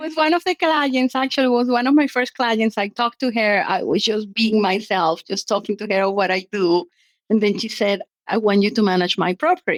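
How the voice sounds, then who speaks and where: A woman speaks with a non-native accent and a fairly high pitch. Her intonation is lively. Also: moderate pace, dry, close sound with no echo. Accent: foreign. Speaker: short-term rental business owner. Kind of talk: interview conversation.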